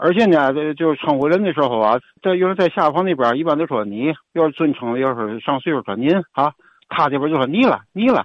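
A man with a plain, everyday voice, fairly high in pitch, at a fairly quick pace with lively intonation. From Tianjin. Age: 60s. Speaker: caller. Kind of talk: call-in chat.

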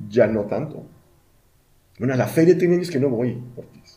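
With audible room echo, a man talks at a moderate pace in a somewhat breathy voice with a dark, mellow tone. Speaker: podcast co-host. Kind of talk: casual chat.

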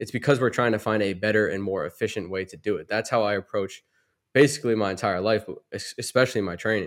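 In a very clean recording with a silent background, a man with an American accent talks at a very fast pace, his fairly low pitch showing ordinary variation and his loudness swinging widely. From Massachusetts. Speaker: basketball trainer. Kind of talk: casual chat.

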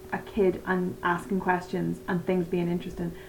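A woman's medium-pitched voice comes through with audible room echo and noticeable background noise. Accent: Northern Irish. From Northern Ireland. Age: 30s. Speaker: election enthusiast. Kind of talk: casual chat.

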